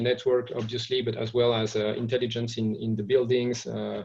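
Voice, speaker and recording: A man speaks with a French accent. His pitch sits in the medium range. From France. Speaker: trade association executive. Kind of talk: webinar presentation. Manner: halting, many fillers and repetitions.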